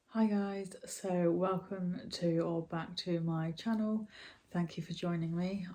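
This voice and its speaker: In a British accent, a woman speaks at a very slow pace, her medium-pitched voice dark and mellow in tone and monotone, flat in intonation. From Britain. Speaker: YouTuber and storyteller. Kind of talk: casual talk to camera.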